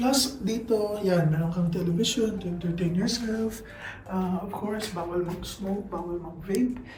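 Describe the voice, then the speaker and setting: Both audible room echo and noticeable background noise surround a woman as she talks. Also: medium pitch for a woman, ordinary pitch variation, moderate pace. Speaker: travel vlogger. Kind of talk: casual vlog narration. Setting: rented room with other guests in the house; riding in a tuk-tuk. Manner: quiet, lowered voice.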